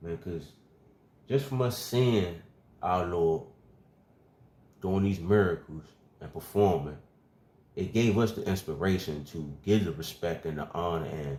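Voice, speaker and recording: This man's voice is very deep and low, with a dark, mellow tone and lively intonation. He leaves long, frequent pauses. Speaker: religious teacher. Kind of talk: bible teaching. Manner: fast.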